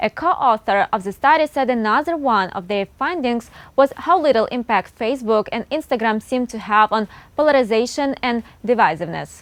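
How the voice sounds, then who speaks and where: With an unremarkable speaking voice, a woman talks at a fairly quick pace, fairly high in pitch, with lively intonation. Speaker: news anchor. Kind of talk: TV news anchor read.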